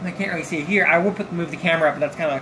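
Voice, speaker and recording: Mumbled speech over noticeable background noise. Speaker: tech hobbyist. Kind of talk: casual tech tutorial talk to camera. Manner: rambling, mumbling. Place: home room.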